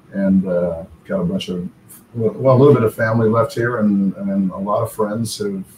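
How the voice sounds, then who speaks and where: With audible room echo and light background noise, the voice keeps a fairly even intonation. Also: man. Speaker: remote interview guest. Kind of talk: interview answer. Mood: relaxed, friendly. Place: home room.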